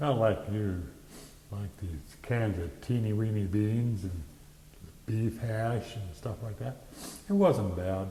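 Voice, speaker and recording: A man's fairly low voice at a very slow pace, with ordinary pitch variation and long, frequent pauses. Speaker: WWII Army veteran. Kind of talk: interview answer.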